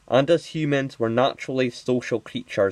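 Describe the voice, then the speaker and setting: Against a quiet background, a man speaks at a moderate pace with a dry, close sound and no echo. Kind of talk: unscripted commentary to camera. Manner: mumbly; hesitant, many filler words.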